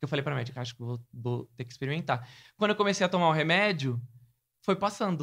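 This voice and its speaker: Lively intonation marks this man's fairly high voice. He speaks at a very fast pace. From Brazil, Sergipe (Aracaju). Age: 20s. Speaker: journalist and content creator. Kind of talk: casual interview.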